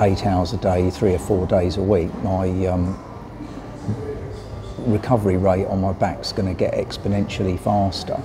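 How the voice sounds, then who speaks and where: Over noticeable background noise, a man with a British accent speaks at a fairly slow pace in a very deep, low, monotone voice. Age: 60s. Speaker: vlogger and cyclist. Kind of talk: casual vlog talk to camera. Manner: hesitant, many fillers.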